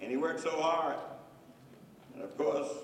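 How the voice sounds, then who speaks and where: Someone with an American accent is heard over noticeable background noise, with audible room echo. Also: man. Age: 80s+. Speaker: pastor. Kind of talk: lecture.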